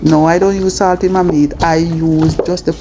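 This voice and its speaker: A soft-spoken woman talks with a Jamaican accent in a very deep, low pitch. Noticeable background noise runs under her voice. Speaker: cooking vlogger. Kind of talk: cooking tutorial voiceover. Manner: calm, soft-spoken.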